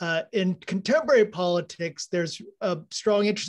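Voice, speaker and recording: In an American accent, a man with a high pitch talks with ordinary pitch variation against a quiet background. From Texas. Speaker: audience member asking a question. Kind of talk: Q&A question. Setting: video call. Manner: casual, hesitant. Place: home room. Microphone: video call.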